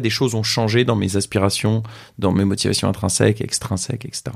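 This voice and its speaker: The recording is very clean, with a silent background. A man with an ordinary speaking voice talks at a fairly quick pace and medium pitch. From France. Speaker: social entrepreneur. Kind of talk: casual interview conversation.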